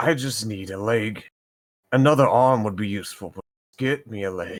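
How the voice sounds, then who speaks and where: A man puts on a raspy character voice and keeps a moderate pace. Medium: actual play.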